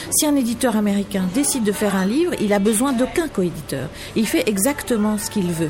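A woman speaks with a fairly high pitch and very wide pitch swings. Noticeable background noise runs behind her. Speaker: magazine editor-in-chief. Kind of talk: interview. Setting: café.

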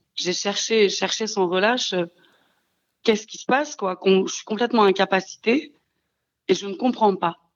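Speaking at a moderate pace with long, frequent pauses, a woman uses medium pitch and ordinary pitch variation. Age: 30s. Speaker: childminder, abuse survivor. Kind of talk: testimony. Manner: halting.

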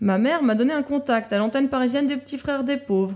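Pitched high, a woman's voice moves with ordinary pitch variation over a very clean recording and a silent background. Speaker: show announcer and chronicle writer. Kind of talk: scripted narration.

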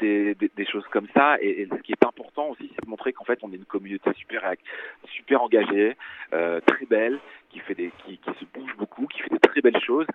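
Speaking at a fairly quick pace and medium pitch, a man with an unremarkable speaking voice shows ordinary pitch variation and big swings in loudness. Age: 40s. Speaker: magazine editor. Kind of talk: phone interview. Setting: phone call.

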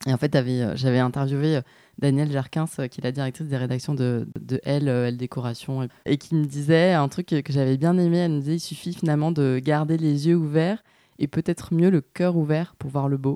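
On a very clean recording with a silent background, a woman with a very deep, low pitch and a dark, mellow tone talks at a moderate pace with fairly even intonation. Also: dry, close sound with no echo. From southern France, Nîmes. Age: 30s. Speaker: podcast host and former lawyer. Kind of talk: interview conversation. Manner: hesitant, many fillers.

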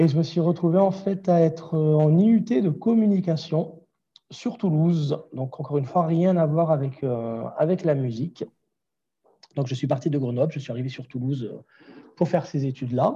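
The speech has a dark, mellow tone, ordinary pitch variation and a moderate pace broken by long, frequent pauses. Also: man, fairly high pitch for a man. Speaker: vocal coach and singer. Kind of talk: interview. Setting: remote call. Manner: frequent laughter. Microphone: poor Wi-Fi connection audio issues.

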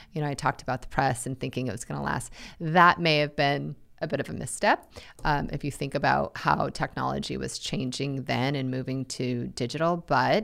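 With vocal fry and ordinary pitch variation, the speaker moves at a fairly quick pace. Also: woman, very deep, low pitch for a woman. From Nebraska, moved around US. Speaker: newspaper publisher. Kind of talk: interview.

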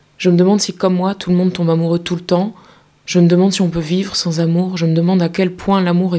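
A woman speaks with a dark, mellow tone. Her pitch is fairly low. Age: 30s. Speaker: podcast host and actress. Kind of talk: scripted narration. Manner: intimate.

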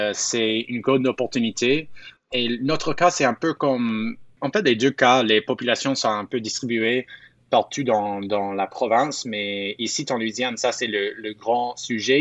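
A man with an unremarkable speaking voice talks at a medium pitch and a fairly slow pace with fairly even intonation. The sound is dry and close with no echo, over a quiet background. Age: 20s. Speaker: media founder. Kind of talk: interview. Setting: outdoors in a park.

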